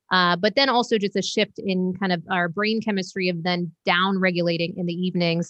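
Against a quiet background, a woman with an ordinary speaking voice talks at a fairly quick pace in a medium pitch, with fairly even intonation and hardly any pauses. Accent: American. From Maine, US. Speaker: sleep educator. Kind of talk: interview.

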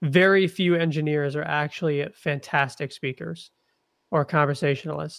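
This man has an unremarkable speaking voice with a fairly high pitch and fairly even intonation at a moderate pace. The recording is very clean, with a silent background. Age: 20s. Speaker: investor and agency founder. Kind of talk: casual interview.

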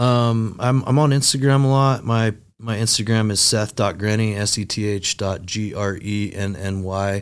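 A man with a normal speaking voice talks at a fairly slow pace and fairly low pitch with fairly even intonation and hardly any pauses, on a very clean recording with a silent background. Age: 30s. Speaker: sales company vice president. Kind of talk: casual interview chat.

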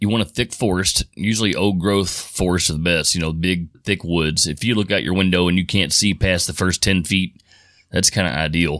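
In a Kentucky accent, a man with a very deep, low pitch speaks at a moderate pace, his intonation fairly even and his loudness very even, in a very clean recording with a silent background. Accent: Kentucky Southern. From Louisville, Kentucky. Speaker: Bigfoot researcher. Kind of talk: interview storytelling. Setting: studio.

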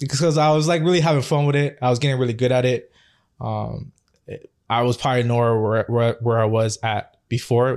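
Over a silent background in a very clean recording, a man with a Toronto accent talks fairly quickly at a medium pitch with fairly even intonation. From Canada, Toronto (Scarborough). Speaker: chef. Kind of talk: casual interview.

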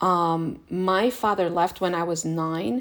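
Fairly low for a woman, an unremarkable speaking voice carries fairly even intonation in a very clean recording with a silent background. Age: 50s. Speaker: podcast host, self-help speaker. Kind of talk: solo self-help talk. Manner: casual, conversational with many fillers.

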